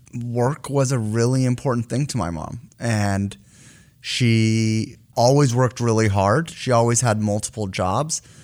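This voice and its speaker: An ordinary speaking voice from a man at a medium pitch, fairly slow, with ordinary pitch variation, on a very clean recording with a silent background. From US. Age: 30s. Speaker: company CEO. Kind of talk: interview.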